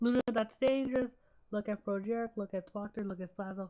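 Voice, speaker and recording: Her pitch is fairly high, with fairly even intonation. The woman's tone is dark and mellow. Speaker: livestreamer. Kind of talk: casual live stream commentary.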